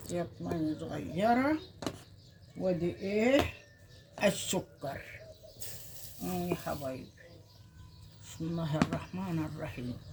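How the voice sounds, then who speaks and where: Very slowly and with long, frequent pauses, a woman speaks over noticeable background noise. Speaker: home cooking vlogger. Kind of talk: casual cooking video.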